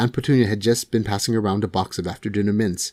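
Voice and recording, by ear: The text is read aloud in a natural voice, and the intonation stays fairly even.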